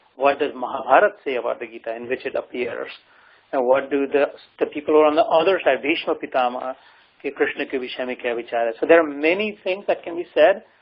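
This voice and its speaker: A man races along at a very fast pace, his fairly high pitch varying in an ordinary way. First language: Marathi. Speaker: spiritual teacher. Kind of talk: lecture.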